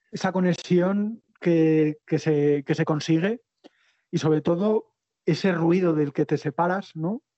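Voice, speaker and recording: A man with an Aragonese accent and a high pitch, at a very slow pace, with fairly even intonation and very even loudness. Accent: Aragonese Spanish (Spain). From Spain, Zaragoza (Aragon). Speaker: long-distance cycle traveller and author. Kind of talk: interview. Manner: halting, frequent repetitions.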